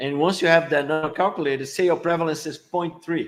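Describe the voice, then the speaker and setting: The speaker is a man with a fairly high pitch. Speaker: epidemiology professor. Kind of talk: lecture. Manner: fast.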